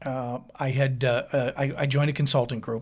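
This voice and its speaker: On a very clean recording with a silent background, a man with a normal speaking voice talks at medium pitch with fairly even intonation. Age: 50s. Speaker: painting business owner. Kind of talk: interview.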